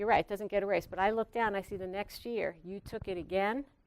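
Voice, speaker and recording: On a very clean recording with a silent background, a woman speaks with an American accent. Her pitch is medium and varies in an ordinary way. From New York. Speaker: physician assistant professor. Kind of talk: lecture. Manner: direct.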